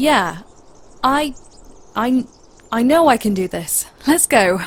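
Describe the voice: A woman puts on a character voice with a slightly husky edge, speaking at a fairly high pitch and a slow pace with lively intonation.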